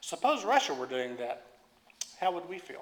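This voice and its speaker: A man speaks with an Oklahoma accent and a high pitch. His intonation is lively. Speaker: preacher. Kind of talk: sermon reading aloud. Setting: church. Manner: halting with repetitions.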